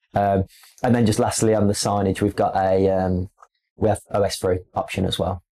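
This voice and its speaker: A man with a dark, mellow tone and fairly low pitch speaks at a moderate pace, his intonation monotone and flat and his loudness very even. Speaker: display company representative. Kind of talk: podcast interview. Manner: casual, with frequent fillers and repetitions.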